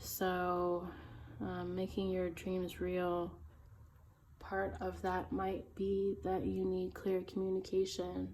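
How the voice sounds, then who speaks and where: A woman speaks very slowly, with audible echo in the room. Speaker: tarot reader. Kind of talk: tarot reading. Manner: casual with fillers.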